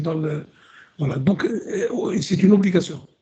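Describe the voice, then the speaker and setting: A man talks with fairly even intonation in a dark, mellow tone. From Algeria. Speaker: historian. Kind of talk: radio discussion. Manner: halting, many repetitions.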